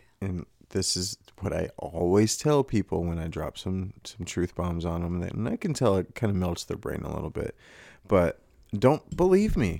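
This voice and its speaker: At a moderate pace, this dark, mellow voice has ordinary pitch variation in a very clean recording with a silent background. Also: man, very deep, low pitch for a man. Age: 30s. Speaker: podcast co-host. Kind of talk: casual chat.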